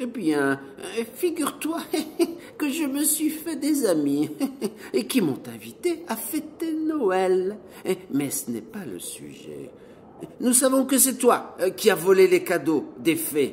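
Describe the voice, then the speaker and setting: A gruff put-on character voice, fairly slow with long, frequent pauses, very wide pitch swings and big swings in loudness, over clear background noise. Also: man, extremely high pitch for a man. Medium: read story. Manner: grumbling, gruff.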